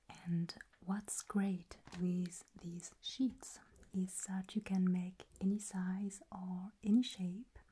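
A woman speaks in a flat, monotone way, her dark, mellow tone somewhat breathy. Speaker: crafts host. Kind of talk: calm tutorial chat. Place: home room.

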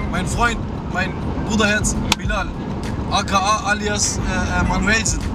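The voice sounds dry, with no echo. Music plays in the background. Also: man. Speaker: vlogger passenger. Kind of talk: casual vlog chat. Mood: cheerful, joking. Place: car.

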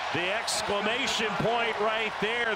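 A man speaks in a raised, projected voice, high-pitched and excited. Noticeable background noise sits behind him. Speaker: play-by-play commentator. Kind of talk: live sports commentary. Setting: arena broadcast, basketball game. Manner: clipped, excited, call-by-call delivery.

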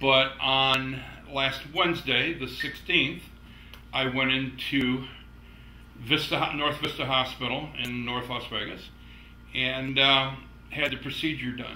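Audible room echo surrounds a monotone, flat delivery. The pace is very slow, with long, frequent pauses. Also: man. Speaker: personal vlogger. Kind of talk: casual vlog chat. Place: home room. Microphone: camera far.

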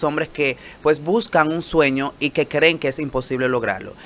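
A man speaks at a moderate pace with a fairly high pitch. His is an unremarkable speaking voice with ordinary pitch variation. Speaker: TV producer. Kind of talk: promotional interview chat. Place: studio.

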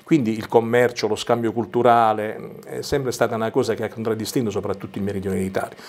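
At a very fast pace with hardly any pauses, a man speaks. His pitch is medium, and his intonation is fairly even. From Basilicata, Vulture area (Arbëreshë village); Basilicata. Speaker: writer and journalist. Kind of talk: interview. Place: studio. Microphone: lapel.

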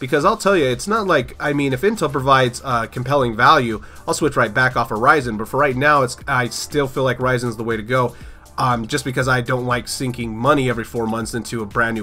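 With music in the background, a man at medium pitch speaks at a very fast pace with ordinary pitch variation. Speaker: PC tech YouTuber. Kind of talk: casual tech news talk.

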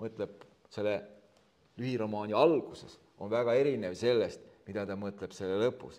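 A man is speaking. His tone is dark and mellow. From Estonia, Võru County. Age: 50s. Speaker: author and politician. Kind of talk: book launch conversation.

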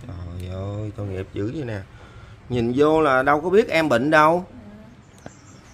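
Speaking at a fairly slow pace, a man leaves long, frequent pauses and makes very wide pitch swings. His loudness rises and falls sharply, with light background noise behind him. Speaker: charity video host. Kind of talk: casual chat. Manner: warm, sympathetic. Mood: sympathetic, pitying. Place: home room. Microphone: camera far.

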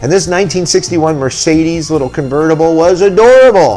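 Faint music plays in the background. A man with a fairly high pitch speaks at a fairly quick pace. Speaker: appraiser and auctioneer. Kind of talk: casual talk to camera. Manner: playful, comedic. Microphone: webcam.

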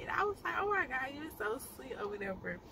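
A very fast pace of speech, with noticeable background noise throughout. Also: woman. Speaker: vlogger. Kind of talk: casual vlog chat. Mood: happy, amused storytelling. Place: car. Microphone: phone near.

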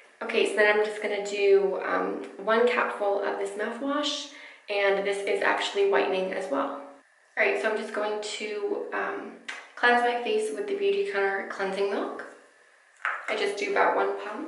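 A woman at a moderate pace, with audible room echo and music in the background. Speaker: beauty vlogger. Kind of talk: tutorial. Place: bathroom. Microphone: camera far.

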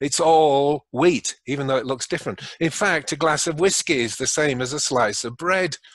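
A man with a British accent speaks at a moderate pace, his pitch fairly high and its variation ordinary. There are hardly any pauses, and the sound is dry with no echo against a quiet background. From England. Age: 70s. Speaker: retired physician; podcast guest. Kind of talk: interview. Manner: jovial, laughs often. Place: home room. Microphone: webcam.

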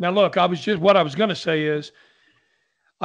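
A man with a high pitch over a quiet background. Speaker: opera singer, podcast host. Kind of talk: casual podcast talk. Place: home room. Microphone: studio mic.

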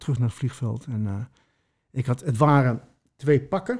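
Over a quiet background, a man with a Spanish accent sounds somewhat breathy, with a dark, mellow tone and ordinary pitch variation. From Mexico and Colombia, later Netherlands. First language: Spanish (speaking Dutch). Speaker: former prisoner, musician; interview guest. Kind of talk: personal testimony interview. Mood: calm, reflective storytelling. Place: home room. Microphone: studio mic.

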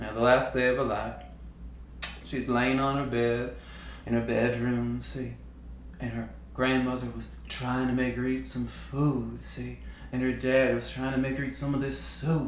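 Light background noise and audible room echo surround a man's voice. He goes at a fairly slow pace with long, frequent pauses. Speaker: storyteller. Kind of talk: spoken story monologue. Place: studio.

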